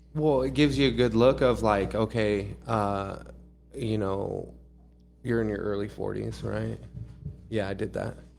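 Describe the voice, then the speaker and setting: A fairly slow pace with long, frequent pauses over music in the background. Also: man. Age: 30s. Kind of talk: casual chat.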